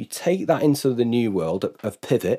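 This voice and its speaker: In a very clean recording with a silent background, a man speaks at medium pitch. His pitch swings very widely. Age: 40s. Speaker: business consultant. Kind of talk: casual chat. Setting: studio.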